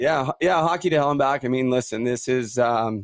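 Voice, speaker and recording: A man talks with a Canadian accent. The sound is dry and close, with no echo. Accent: Canadian, by own remark. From western Canada, near Vancouver. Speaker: former pro hockey player, podcast host. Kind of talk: testimony.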